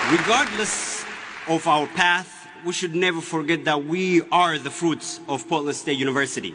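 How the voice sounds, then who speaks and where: Against crowd noise in the background, a man with an Ethiopian accent speaks in a high voice at a moderate pace with fairly even intonation. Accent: Ethiopian (Oromo) English. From Ethiopia (Oromia). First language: Oromo. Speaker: graduating student speaker. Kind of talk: commencement speech. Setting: graduation ceremony with audience. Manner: formal.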